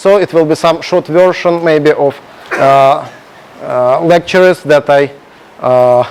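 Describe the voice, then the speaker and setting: Amid noticeable background noise, a man with a Russian accent speaks at a very slow pace. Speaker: programming contest coach and lecturer. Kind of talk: lecture. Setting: classroom with projector, streamed. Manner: halting, many filler sounds.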